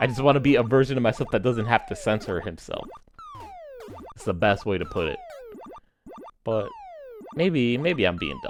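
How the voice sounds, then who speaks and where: A man at a moderate pace with long, frequent pauses and big swings in loudness, music playing in the background. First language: not English. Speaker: gaming YouTuber. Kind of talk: casual commentary while gaming. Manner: frequent self-repetitions.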